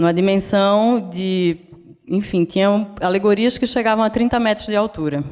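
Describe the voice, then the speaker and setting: With a northeastern Brazilian accent, a woman speaks at a moderate pace and medium pitch, with ordinary pitch variation and very even loudness. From Brazil, Northeast (Pernambuco). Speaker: designer. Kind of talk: lecture. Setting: stage with audience.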